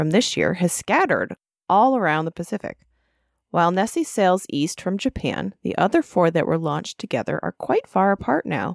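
Lively in intonation and marked by vocal fry, a woman talks at a fairly quick pace in a dry, close sound with no echo. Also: very clean recording, silent background. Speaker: podcast host. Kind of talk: scripted news-style report reading. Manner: brisk, even, newsreader-like delivery.

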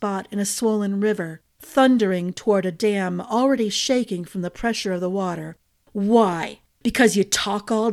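Quiet background behind an unforced reading voice

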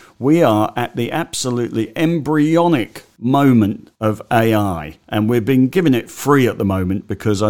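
The male speaker keeps a moderate tempo. His pitch rises and falls in a lively way. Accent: Australian. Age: 60s. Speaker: stock market commentator. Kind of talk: solo market update podcast.

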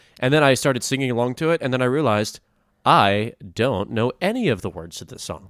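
Against a silent background, the very clean recording captures a man talking. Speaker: podcast host. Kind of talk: casual chat. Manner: joking.

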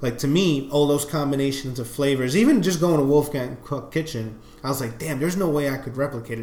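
A man talks at a fairly quick pace and medium pitch, with ordinary pitch variation. Noticeable background noise and audible room echo fill the recording. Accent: New York. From New York. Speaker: podcast co-host. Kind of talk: casual chat.

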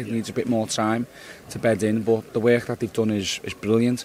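Amid noticeable background noise, a man talks at a moderate pace in a medium pitch with monotone, flat intonation. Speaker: football manager. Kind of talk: post-match interview.

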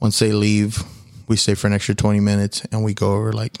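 A man with an American accent, fairly low in pitch, in a monotone, flat delivery at a very fast pace, on a very clean recording with a silent background. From Houston, Texas. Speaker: church media worker and musician. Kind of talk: casual chat. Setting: hotel room.

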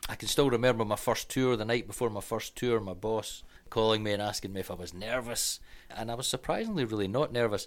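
Very fast speech in a Scottish accent, with fairly even intonation, on a very clean recording over a silent background. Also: man, medium pitch for a man. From Scotland. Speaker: tour guide. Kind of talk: casual chat.

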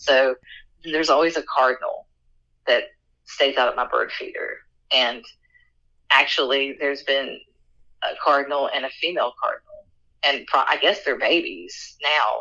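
Moderate pacing in an Appalachian accent, broken by long, frequent pauses. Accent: Appalachian American. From West Virginia, Appalachia. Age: 40s. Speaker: folklore content creator and sociologist. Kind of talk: interview storytelling.

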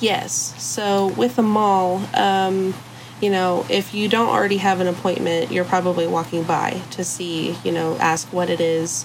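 Noticeable background noise sits behind a woman with an American accent. She talks at a fairly slow pace and a fairly low pitch. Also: ordinary pitch variation. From Texas, Arlington. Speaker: escape room assistant manager. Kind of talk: interview.

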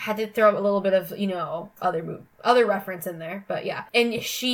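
Pitch moves with ordinary variation. The delivery is a natural reading voice.

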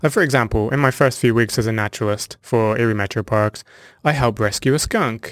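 A man with a southern English accent talks at a fairly quick pace and medium pitch. The recording is very clean, with a silent background. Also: dry, close sound with no echo. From southern England (Hampshire). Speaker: naturalist. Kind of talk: interview.

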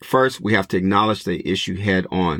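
A man with an American accent speaks at a fairly low pitch and moderate pace with ordinary pitch variation, an unremarkable speaking voice on a very clean recording with a silent background and a dry, close sound with no echo. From Los Angeles. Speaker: podcast host. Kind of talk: casual interview podcast; monologue commentary.

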